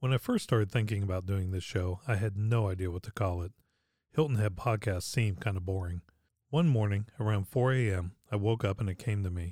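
A man with an American accent and an unremarkable speaking voice talks at a fairly quick pace, his fairly low pitch showing ordinary variation, in a very clean recording with a silent background. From Pittsburgh, Pennsylvania. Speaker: podcast host. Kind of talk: scripted narration.

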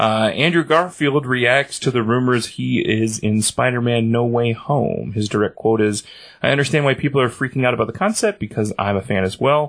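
Using a plain, everyday voice, a man speaks at a medium pitch and moderate pace, with ordinary pitch variation and hardly any pauses. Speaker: podcast co-host. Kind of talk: casual chat.

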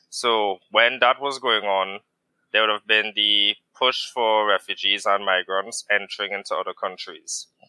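A man at a fairly slow pace, monotone and flat in intonation. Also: fairly low pitch for a man. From Trinidad and Tobago. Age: 30s. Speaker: veterinarian. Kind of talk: interview conversation.

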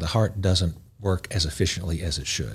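A man with a very deep, low voice. His tone is somewhat breathy. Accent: Southern US. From East Tennessee (Knoxville). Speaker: cardiologist. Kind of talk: interview. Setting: studio.

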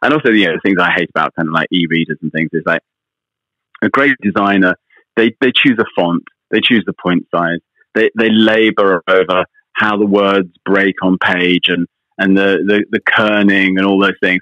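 With a British accent, a man speaks at a fairly low pitch and very even loudness. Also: ordinary pitch variation, moderate pace. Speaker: magazine editor and radio presenter. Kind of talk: interview. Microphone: slight line delay.

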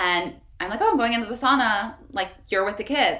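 Amid noticeable background noise and audible room echo, a woman speaks at a fairly quick pace with lively intonation. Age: 30s. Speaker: wellness entrepreneur. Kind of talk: casual chat.

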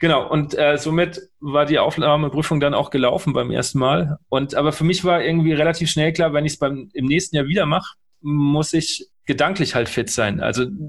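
A man with an ordinary speaking voice, fairly high pitch, fairly even intonation, moderate pace, and hardly any pauses. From central Germany. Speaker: podcast host and trumpeter. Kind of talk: interview.

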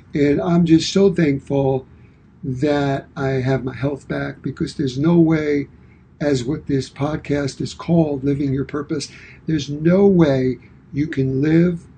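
A man's somewhat breathy voice, dark and mellow in tone, moves at a fairly slow pace with fairly even intonation. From Brooklyn, New York. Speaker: podcast co-host, fitness and wellness coach. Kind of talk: casual chat.

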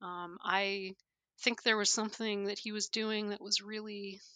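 A woman's plain, everyday voice at medium pitch and a fairly slow pace, on a very clean recording with a silent background. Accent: Canadian. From Canada. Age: 40s. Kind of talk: interview conversation.

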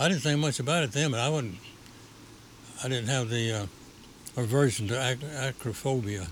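Long, frequent pauses break up this man's speech. His pitch is medium, with ordinary pitch variation. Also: moderate pace. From Appalachia, US South. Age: 80s+. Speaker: shop owner, memorabilia collector. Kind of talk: interview. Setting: on location in his store.

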